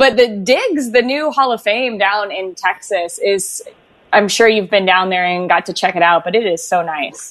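A woman at medium pitch and moderate pace with ordinary pitch variation, an ordinary speaking voice. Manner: upbeat and chatty, playful, cheerful.

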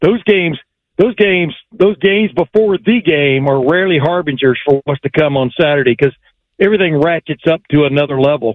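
Fairly quick delivery with ordinary pitch variation and very even loudness. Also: man, fairly high pitch for a man. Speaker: sports radio analyst. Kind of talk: casual sports talk. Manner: conversational, chatty, halting.

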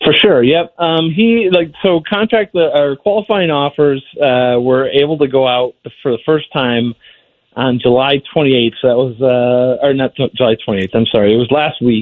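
In an ordinary speaking voice, a man talks at a moderate pace with a fairly high pitch and lively intonation. His loudness stays very even. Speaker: newspaper hockey reporter. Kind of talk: casual sports interview.

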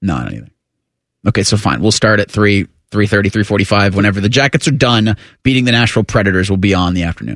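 Vocal fry at a fairly quick pace, with ordinary pitch variation and a quiet background. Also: man, fairly low pitch for a man. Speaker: radio host. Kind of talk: casual radio sports talk. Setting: studio. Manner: animated, chatty.

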